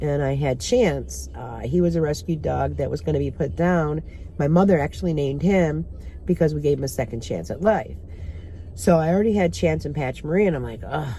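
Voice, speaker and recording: With audible room echo, a woman talks at a fairly quick pace. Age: 60s. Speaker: vlogger. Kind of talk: casual chat. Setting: in a car.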